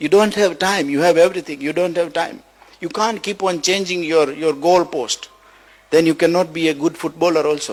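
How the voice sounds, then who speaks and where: This man talks at a moderate pace in a high voice, his intonation fairly even. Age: 60s. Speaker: motivational speaker. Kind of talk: motivational talk. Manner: halting, repeats words.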